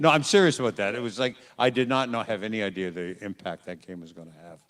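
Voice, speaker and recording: A man talks at a very fast pace with lively intonation. His pitch sits fairly low, and his loudness swings widely. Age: 70s. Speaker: voice actor. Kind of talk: convention panel Q&A. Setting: stage with audience. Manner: casual, frank.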